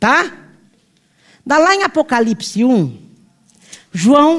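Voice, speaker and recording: Speaking fairly slowly, a woman's fairly high voice moves through very wide pitch swings. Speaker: pastor. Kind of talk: sermon.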